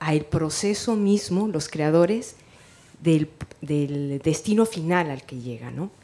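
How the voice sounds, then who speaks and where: A woman talks at a very slow pace in a dark, mellow tone. Her intonation stays lively. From Mexico. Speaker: writer and teacher. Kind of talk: audience question at a book presentation. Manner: soft-spoken.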